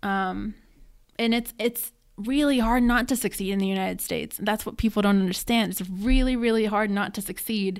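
A woman with an American accent, a plain, everyday voice, fairly high pitch, fairly even intonation and a moderate pace, on a very clean recording with a silent background. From West Virginia (Somersville). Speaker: college student. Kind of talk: reading aloud; interview.

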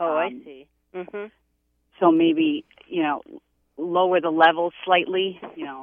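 In a Boston accent, a woman speaks at a fairly slow pace with a fairly low pitch. Her intonation is fairly even, and she leaves long, frequent pauses. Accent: Boston-area Massachusetts. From Massachusetts. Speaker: psychic. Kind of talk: psychic readings for callers.

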